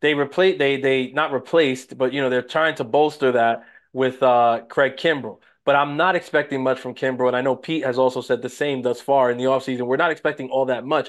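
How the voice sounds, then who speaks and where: This man speaks at medium pitch and a fairly quick pace. His tone is animated. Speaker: podcast co-host. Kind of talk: casual banter about baseball. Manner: animated, joking, talks over co-host.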